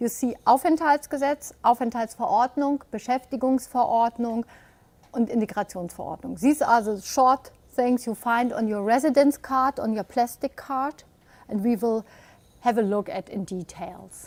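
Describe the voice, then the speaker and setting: High-pitched female voice with ordinary pitch variation. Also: moderate pace, dry, close sound with no echo. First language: German. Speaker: webinar presenter, immigration law advisor. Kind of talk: webinar presentation. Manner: hesitant, with fillers.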